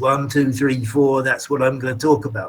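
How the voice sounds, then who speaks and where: A man with a fairly high-pitched, somewhat breathy voice talks at a moderate pace. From England, East Anglia (Colchester, North Essex). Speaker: English teacher. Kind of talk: lecture. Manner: talkative, repetitive.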